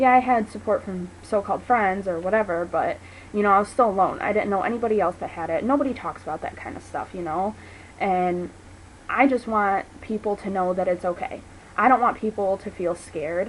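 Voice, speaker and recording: An unremarkable speaking voice from a woman, medium in pitch, with ordinary pitch variation and a fairly quick pace. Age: 20s. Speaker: vlogger. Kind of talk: personal testimony vlog. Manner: casual, filler-heavy.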